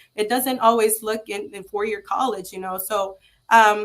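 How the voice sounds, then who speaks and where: A woman with a Spanish accent speaks at a moderate pace, her fairly high pitch showing ordinary variation, on a very clean recording with a silent background. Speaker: trade school founder. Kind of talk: interview. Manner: halting, many fillers.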